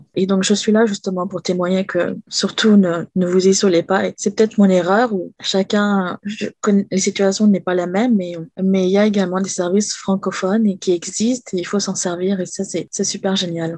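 In a dark, mellow tone, a woman speaks at a moderate pace with monotone, flat intonation and a dry, close sound with no echo. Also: medium pitch for a woman. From France. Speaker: domestic violence survivor. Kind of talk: testimony.

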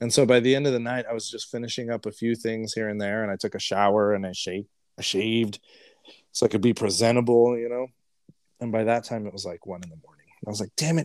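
In an American accent, a man at medium pitch rattles along at a very fast pace with fairly even intonation and big swings in loudness, the sound dry and close with no echo. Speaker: podcast host. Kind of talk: casual chat.

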